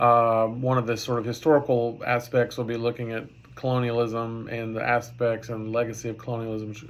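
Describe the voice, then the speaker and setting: Amid audible room echo, a man speaks in a flat monotone at a medium pitch and a moderate pace. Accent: Texas. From Texas. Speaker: professor. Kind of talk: lecture. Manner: halting.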